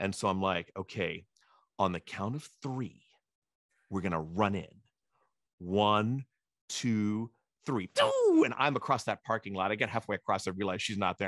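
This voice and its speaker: With long, frequent pauses, a man of fairly low pitch speaks with ordinary pitch variation in a dry, close sound with no echo. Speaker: eDiscovery legal educator and moderator. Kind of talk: casual storytelling in an interview answer. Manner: animated, fast, humorous.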